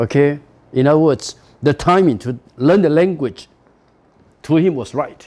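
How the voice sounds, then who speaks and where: Speaking with a Taiwanese accent, a man uses lively intonation and a fairly high voice with a dark, mellow tone, at a fairly slow pace. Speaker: university professor. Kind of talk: lecture.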